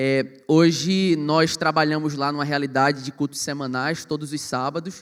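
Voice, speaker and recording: The recording is very clean, with a silent background. A man speaks in a fairly high pitch with a monotone, flat intonation. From Brazil, Pernambuco (Recife metropolitan area). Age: 20s. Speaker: youth pastor. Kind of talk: panel discussion.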